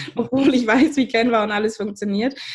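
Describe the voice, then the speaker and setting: The woman has an ordinary speaking voice, pitched fairly high. She talks at a fairly quick pace with ordinary pitch variation. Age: 30s. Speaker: podcast host, business coach. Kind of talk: podcast interview.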